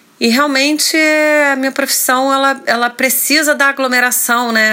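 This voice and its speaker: At a moderate pace, a woman talks amid noticeable background noise. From Rio de Janeiro, Brazil. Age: 40s. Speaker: actress. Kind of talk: interview. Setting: hotel room.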